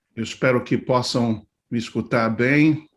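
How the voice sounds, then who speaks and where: A man speaks at a very slow pace and a medium pitch. His intonation is fairly even. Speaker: pastor. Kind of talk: talk to church leaders. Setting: live video stream. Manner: halting, many fillers.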